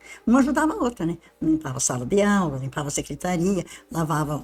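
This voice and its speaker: A woman's very fast speech with very wide pitch swings. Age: 80s+. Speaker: retired university maintenance worker. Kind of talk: interview, personal recollection. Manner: informal, chatty.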